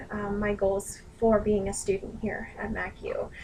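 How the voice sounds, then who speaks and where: A woman's fairly high voice comes through with noticeable noise behind it. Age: 20s. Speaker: student and dog groomer. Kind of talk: self-introduction video. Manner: earnest, with frequent hesitations.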